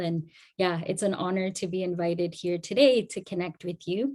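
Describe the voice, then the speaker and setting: On a very clean recording with a silent background, a woman speaks at a moderate pace in a medium pitch with fairly even intonation. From Afghanistan (Herat), raised partly in Iran and Canada. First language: Dari. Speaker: community advocate, guest speaker. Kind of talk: talk to an audience.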